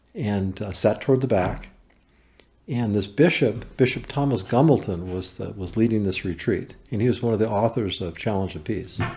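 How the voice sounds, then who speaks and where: A man with an American accent talks at a moderate pace and fairly low pitch, somewhat breathy. His tone is dark and mellow, with ordinary pitch variation. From US West Coast, Berkeley, California. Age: 60s. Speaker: carpenter and small business owner. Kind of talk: podcast interview, personal testimony.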